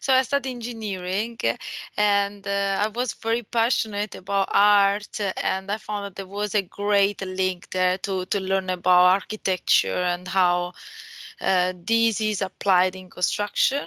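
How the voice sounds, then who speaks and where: A woman with an Italian accent speaks at a fairly slow pace in a bright, sharp tone. Her intonation is fairly even, and the sound is dry and close with no echo. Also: medium pitch for a woman. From Italy. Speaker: BIM manager. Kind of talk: webinar presentation. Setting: virtual event.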